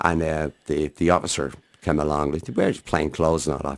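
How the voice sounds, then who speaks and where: Speaking in a Dublin accent at a very fast pace, a man uses a very deep, low pitch with vocal fry. The sound is dry and close, with no echo. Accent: Dublin Irish. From Ireland, Dublin. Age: 60s. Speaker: harmonica player. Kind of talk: interview.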